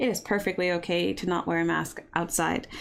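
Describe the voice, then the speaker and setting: A woman with an American accent talks in an unremarkable speaking voice. She keeps a medium pitch and a fairly quick pace. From US, Baltimore area. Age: 30s. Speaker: YouTuber. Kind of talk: live stream Q&A chat. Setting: live stream. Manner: casual, rambling.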